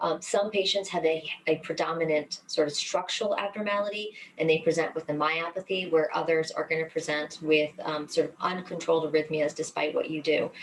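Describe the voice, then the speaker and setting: Woman's voice, fairly low-pitched with fairly even intonation, amid noticeable background noise. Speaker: cardiologist. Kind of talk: webinar lecture; Q&A answer. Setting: online webinar. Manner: fast; many fillers, um and sort of.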